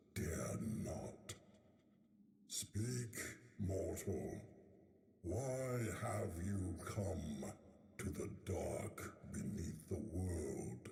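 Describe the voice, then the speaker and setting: Using a put-on character voice at a fairly low pitch, a man speaks at a very slow pace with long, frequent pauses and a slight echo. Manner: commanding.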